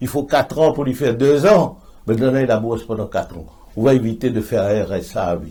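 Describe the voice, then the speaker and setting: Somewhat breathy and at a medium pitch, a man speaks at a fairly quick pace with lively intonation. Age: 70s. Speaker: politician. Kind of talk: interview.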